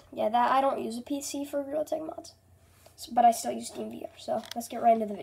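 Over noticeable background noise, a woman speaks at a very fast pace and high pitch, with ordinary pitch variation and big swings in loudness. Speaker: gaming YouTuber. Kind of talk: tutorial. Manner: casual.

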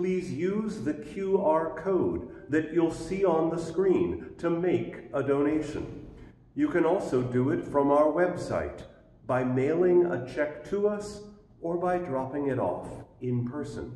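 Speaking at a very slow pace, a man shows ordinary pitch variation, and the room echo is audible. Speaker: pastor. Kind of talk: church announcements. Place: church.

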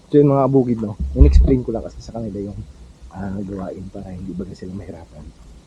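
A man talks at a very fast pace. His intonation is lively. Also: fairly low pitch for a man. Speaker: farmer vlogger. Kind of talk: casual vlog narration. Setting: outdoors on a farm. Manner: loud.

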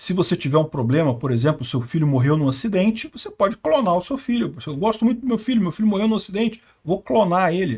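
With hardly any pauses, a man speaks very fast at a high pitch with very wide pitch swings against a quiet background. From Brazil. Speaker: political commentator. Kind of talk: news commentary. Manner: casual, conversational.

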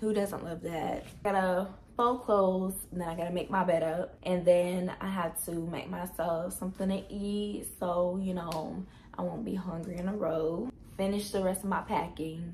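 A woman speaks at a moderate pace in a fairly low, raspy voice with a slightly mellow tone. Her intonation stays fairly even.

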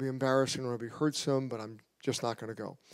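Over a quiet background, a man with an American accent speaks at a fairly quick pace with fairly even intonation. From New York. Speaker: pastor. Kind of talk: mission report. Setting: church. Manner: fast. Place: church. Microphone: handheld.

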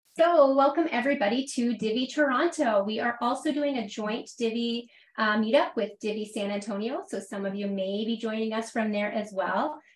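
Barely pausing, a woman speaks in a fairly high voice with ordinary pitch variation, and audible room echo surrounds her. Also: moderate pace. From Canada. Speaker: meetup host. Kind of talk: casual chat. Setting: video call. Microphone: webcam.

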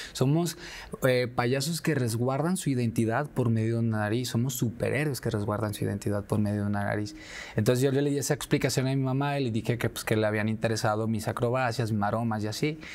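Speaking very fast, a man uses ordinary pitch variation. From Guadalajara, Jalisco, Mexico. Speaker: clown entertainer; interview guest. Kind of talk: interview. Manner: halting with repetitions. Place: studio. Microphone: lapel.

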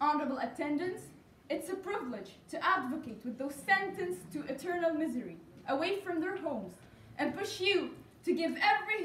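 With light background noise and audible room echo, a woman speaks at a moderate pace in a high voice. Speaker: speaker. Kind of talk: speech. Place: hall. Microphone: camera far.

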